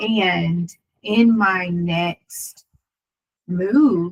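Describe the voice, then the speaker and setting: Somewhat breathy, a woman with an American accent talks at a fairly low pitch. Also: dry, close sound with no echo. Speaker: lawyer and video creator. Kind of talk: casual monologue.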